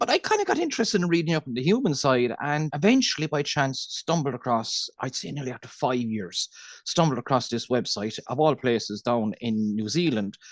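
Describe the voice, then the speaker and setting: With a Cork accent, a man talks at a fairly quick pace with lively intonation and hardly any pauses. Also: fairly high pitch for a man. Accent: Irish, Cork. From Ireland, Cork. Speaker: dairy farmer. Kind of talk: podcast interview. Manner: fast.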